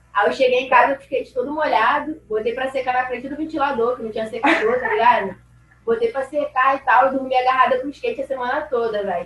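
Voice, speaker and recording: A woman talks at a very fast pace in a high voice, her loudness swinging widely while her pitch varies in an ordinary way, with noticeable background noise behind her. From Rio de Janeiro, Brazil. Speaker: skateboarder. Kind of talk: casual interview chat.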